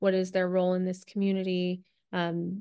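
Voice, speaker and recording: A woman with an American accent speaks at a moderate pace. Her pitch is medium and her intonation monotone and flat, over a quiet background. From US Northeast, New Jersey. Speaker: novelist. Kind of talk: interview.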